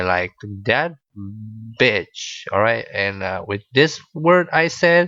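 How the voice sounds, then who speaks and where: A man speaks in a bright, sharp tone at a very slow pace, with very wide pitch swings. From Bulgaria. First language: Bulgarian. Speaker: podcaster. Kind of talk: casual storytelling monologue. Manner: hesitant, many fillers.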